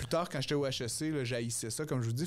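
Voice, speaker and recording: A man talks with ordinary pitch variation. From Quebec, Outaouais; Quebec. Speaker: economist and entrepreneur; podcast guest. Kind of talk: casual chat. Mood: relaxed, friendly chat. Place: studio. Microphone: studio mic.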